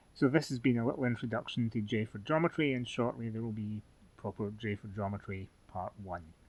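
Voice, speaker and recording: His pitch moves with ordinary variation. The man talks in a Scottish accent. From Scotland. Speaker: fencing instructor. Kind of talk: tutorial. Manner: halting, many fillers.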